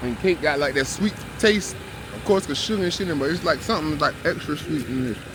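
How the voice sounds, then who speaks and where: A man with a fairly high pitch talks at a very fast pace amid noticeable background noise. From US South. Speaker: vlogger. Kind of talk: casual food review vlog. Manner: relaxed, casual.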